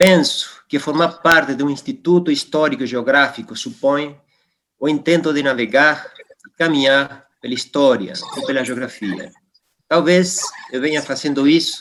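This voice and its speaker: A man's fairly high voice in a Spanish accent, at a moderate pace with long, frequent pauses and ordinary pitch variation. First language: Spanish (speaking Portuguese). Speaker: geologist and academic. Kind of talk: formal induction speech. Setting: virtual session. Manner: formal.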